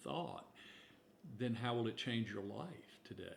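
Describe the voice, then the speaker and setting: Fairly low male voice with vocal fry, ordinary pitch variation and a moderate pace. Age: 70s. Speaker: minister. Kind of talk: casual chat.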